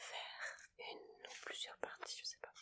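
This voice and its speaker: Whispering, a woman speaks at a very slow pace. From Montpellier, France. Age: 20s. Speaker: ASMR creator. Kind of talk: casual talk to camera while playing solitaire. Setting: home recording with a Blue Yeti microphone. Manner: casual, chatty, relaxed.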